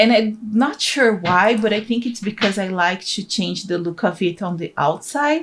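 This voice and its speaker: Speaking in a Portuguese accent, a woman uses ordinary pitch variation. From Brazil. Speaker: gaming YouTuber. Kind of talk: voiceover commentary on a speed build. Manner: casual, occasionally halting over words.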